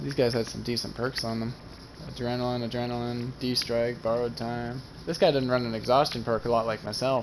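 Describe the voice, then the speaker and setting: A man's fairly quick speech comes with noticeable background noise. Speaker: gaming YouTuber. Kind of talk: gameplay commentary. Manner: halting.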